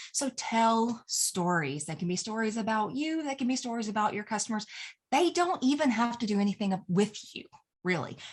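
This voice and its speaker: Somewhat breathy, fairly high female voice with an American accent, very wide pitch swings and a moderate pace. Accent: Southern US, strong at moments. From US South. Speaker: email marketing coach. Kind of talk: tutorial. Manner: casual and chatty.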